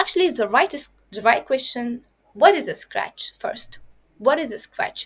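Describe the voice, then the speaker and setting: Speaking in an Arabic accent at a moderate pace, a woman uses a high pitch with very wide pitch swings and big swings in loudness. The sound is dry and close with no echo. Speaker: programming instructor. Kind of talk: lecture. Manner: halting.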